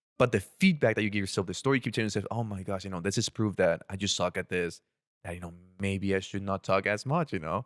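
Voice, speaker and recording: Someone with an Ecuadorian accent talks at a very fast pace with ordinary pitch variation, on a very clean recording with a silent background and a dry, close sound with no echo. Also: man, fairly low pitch for a man. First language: Spanish. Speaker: former international student. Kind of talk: casual podcast interview.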